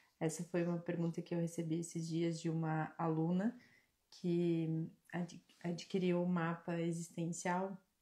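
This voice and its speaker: Soft-spoken and somewhat breathy, the voice has a dark, mellow tone, flat monotone intonation, a fairly slow pace and very even loudness. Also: woman. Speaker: spiritual mentor and live-stream host. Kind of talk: live-stream Q&A talk. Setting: live stream. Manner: soft-spoken, quiet. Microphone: quiet, mic held close.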